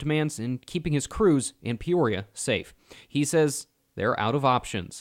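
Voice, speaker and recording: A normal speaking voice with lively intonation at a moderate pace, on a very clean recording with a silent background. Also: man. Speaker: TV news reporter and anchor. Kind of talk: TV news report delivered to camera. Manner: clear, polished, broadcast delivery.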